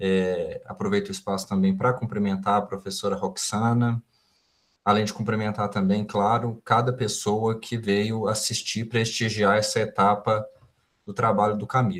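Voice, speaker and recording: Moderate pace and fairly even intonation from a man with a fairly low pitch. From Brazil, interior of Minas Gerais. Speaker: professor, examination committee member. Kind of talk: academic thesis examination feedback.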